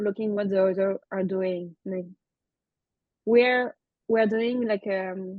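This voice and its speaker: Speaking at a fairly slow pace, a woman with a French accent keeps her intonation fairly even. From France. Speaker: former synchronized skater. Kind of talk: podcast interview.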